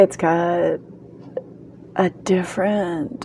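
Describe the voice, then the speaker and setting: A soft-spoken woman talks at a very slow pace. Her medium-pitched voice shows ordinary pitch variation. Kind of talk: casual talk to camera, book review. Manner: soft-spoken, ASMR-style.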